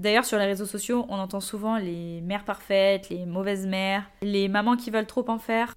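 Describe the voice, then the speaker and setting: Speaking fairly quickly, a woman with a fairly high pitch sounds animated, her pitch varying in an ordinary way. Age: 20s. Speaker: podcast host and social media creator. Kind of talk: casual monologue.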